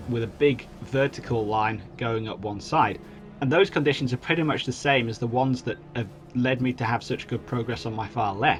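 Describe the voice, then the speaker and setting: A man talks at a medium pitch. Behind him, music plays in the background. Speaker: gaming commentator. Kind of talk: video game let's play commentary. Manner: monotone.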